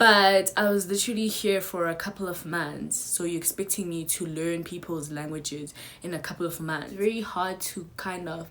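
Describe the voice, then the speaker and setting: At a moderate pace and with hardly any pauses, a woman with a strong South African accent speaks at a fairly low pitch with fairly even intonation. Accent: strong Zulu South African. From South Africa, KwaZulu-Natal. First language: Zulu. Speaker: YouTuber. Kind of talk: casual chat. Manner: hesitant, many fillers.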